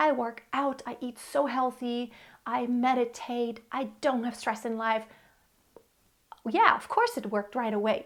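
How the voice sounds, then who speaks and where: A woman talks at a fairly slow pace with long, frequent pauses. Her pitch is high and her intonation fairly even. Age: 40s. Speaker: vlogger sharing fertility journey. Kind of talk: personal testimony to camera. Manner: conversational, halting with fillers.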